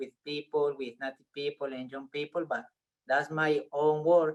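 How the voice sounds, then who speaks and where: Fairly high-pitched man with a Spanish accent and fairly even intonation. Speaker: biologist and science communicator. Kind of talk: audience question. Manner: halting.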